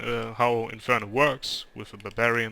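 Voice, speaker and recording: A man speaks at a fairly slow pace with a German accent. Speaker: gaming video creator. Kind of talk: gameplay commentary. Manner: halting, many fillers.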